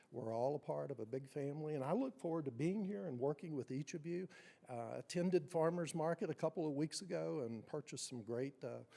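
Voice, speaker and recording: A man speaks with a strong Appalachian accent. His tone is dark and mellow, and his pace is fairly quick. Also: fairly high pitch for a man, ordinary pitch variation. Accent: strong southwest Virginia Appalachian. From Wise County, southwest Virginia (Appalachia). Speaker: school superintendent. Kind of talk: formal introductory remarks. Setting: city council meeting.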